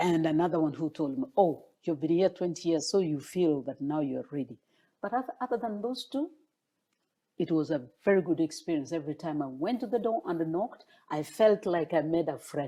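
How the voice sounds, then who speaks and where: This voice has a dark, mellow tone and a Kenyan accent. The intonation is lively. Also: woman. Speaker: former political candidate. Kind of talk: interview. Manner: halting.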